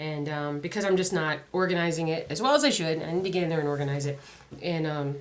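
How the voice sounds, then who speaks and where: Talking at a very fast pace, a woman with a very deep, low pitch keeps her intonation fairly even while audible room echo surrounds her. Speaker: crafting vlogger. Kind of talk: casual vlog chat. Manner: halting, many fillers.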